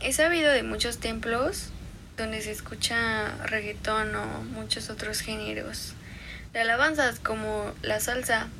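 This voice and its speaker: A woman talks at a fairly slow pace, with audible room echo around her voice. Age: 20s. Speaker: church singer. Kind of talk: interview testimony.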